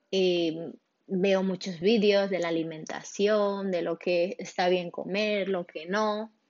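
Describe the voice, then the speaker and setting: Speaking at a very slow pace, a woman keeps her medium pitch monotone and flat. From Spain, Barcelona. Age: 20s. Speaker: podcaster. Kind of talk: casual monologue. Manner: halting.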